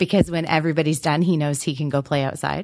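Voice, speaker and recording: A woman with an Ontario accent against a quiet background. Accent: Canadian (Ontario). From southwestern Ontario, Canada. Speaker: challenge team leader. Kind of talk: casual chat. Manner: laughs often, hesitant with many ums.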